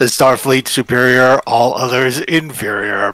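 A man does a put-on character voice that is robotic and raspy. It sits at medium pitch and moves at a moderate pace. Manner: monotone, cold.

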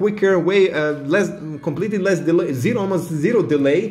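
The voice has an animated, enthusiastic tone, ordinary pitch variation and a fairly quick pace. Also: man. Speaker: tech YouTuber. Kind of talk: product review.

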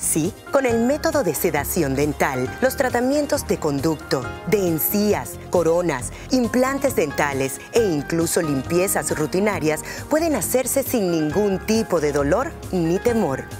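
A fairly slow pace, with music in the background. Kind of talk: TV commercial read.

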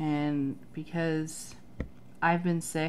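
A woman speaks with a very deep, low pitch and a dark, mellow tone over light background noise. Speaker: planner vlogger. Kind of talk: tutorial. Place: home room.

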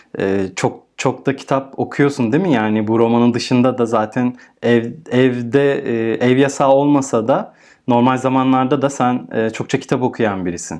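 A man talks in an ordinary speaking voice at medium pitch and a moderate pace. His loudness stays very even, with ordinary pitch variation. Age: 30s. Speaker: podcast host. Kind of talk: casual interview.

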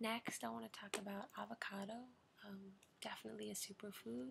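Soft-spoken and gentle in tone, a woman keeps a moderate pace. Background noise is noticeable. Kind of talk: role-play consultation, advice. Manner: soft-spoken, gentle ASMR voice. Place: home room. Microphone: webcam.

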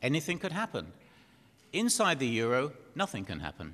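This man, with an English accent, swings his pitch very widely. Vocal fry runs through his voice. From Britain. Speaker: panel chairman. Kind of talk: conference chairing. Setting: stage with audience. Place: hall. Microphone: podium.

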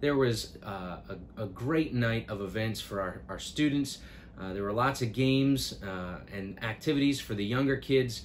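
At a moderate pace, a man's pitch varies in an ordinary way as light noise runs underneath. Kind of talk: announcement vlog to families. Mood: warm, grateful. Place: office.

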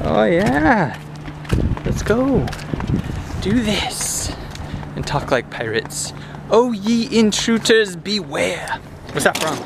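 Speaking at a very slow pace with long, frequent pauses, a man comes through a dry sound with no echo and noticeable background noise. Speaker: family vlogger. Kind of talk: casual vlog chat. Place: street. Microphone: phone near.

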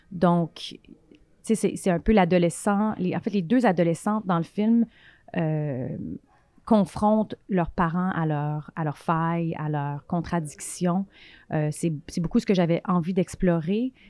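Against a quiet background, a woman with a fairly low, dark, mellow voice speaks at a very slow pace with long, frequent pauses and ordinary pitch variation in a dry sound with no echo. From Quebec. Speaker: film director; guest. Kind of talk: interview. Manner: halting, many fillers and repetitions. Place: home room. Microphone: handheld.

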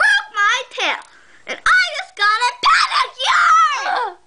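A shouted cartoonish character voice, extremely high in pitch, at a fairly slow pace. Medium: puppet. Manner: panicky, shrieking.

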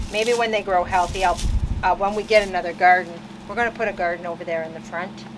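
A woman talks at a very fast pace. There is light background noise. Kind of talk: casual vlog chat. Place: garden.

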